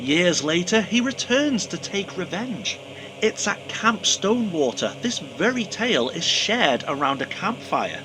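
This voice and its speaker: With noticeable background noise around him, a man talks at a fairly slow pace in a high pitch that swings very widely. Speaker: horror movie reviewer. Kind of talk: casual talk to camera. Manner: humorous.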